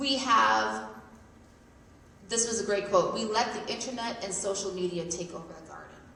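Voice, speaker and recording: Moderately paced speech from a woman at a medium pitch, audible room echo and noticeable background noise around it. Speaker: psychiatrist giving a public talk. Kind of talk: presentation to parents. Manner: hesitant, many fillers.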